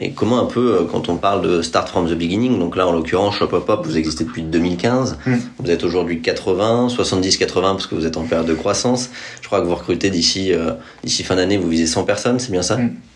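Noticeable background noise sits behind the voice. The talking is fairly quick, and the pitch varies in an ordinary way. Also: man, very deep, low pitch for a man. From Paris. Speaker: podcast host. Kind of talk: scripted narration; interview. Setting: guest's office.

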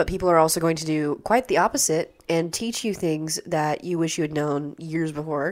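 A woman with a plain, everyday voice speaks at a fairly low pitch and moderate pace, with ordinary pitch variation and hardly any pauses, in a very clean recording with a silent background. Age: 20s. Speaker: student actor and playwright. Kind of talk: casual interview chat.

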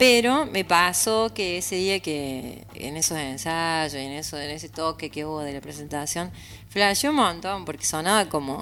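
A bright, sharp tone with a lively, bouncing intonation, delivered at a fairly slow pace. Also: woman, fairly low pitch for a woman, big swings in loudness. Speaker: singer-songwriter. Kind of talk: interview.

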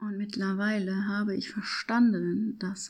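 Somewhat breathy speech in a very clean recording over a silent background. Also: woman. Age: 30s. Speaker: podcast host and personal growth coach. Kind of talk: reflective monologue. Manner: unscripted, spontaneous.

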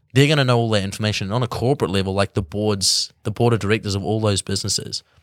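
A man's fairly low voice with a New Zealand accent and fairly even intonation, on a very clean recording with a silent background. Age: 20s. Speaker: musician. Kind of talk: casual chat.

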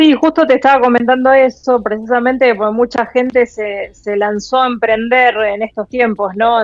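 A woman talks with an ordinary speaking voice at a moderate pace. Her pitch sits fairly high. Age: 40s. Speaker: travel blogger. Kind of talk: interview. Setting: remote call.

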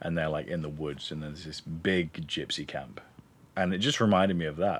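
A man with an English accent speaks at a moderate pace on a very clean recording with a silent background. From England. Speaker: podcast co-host. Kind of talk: casual chat.

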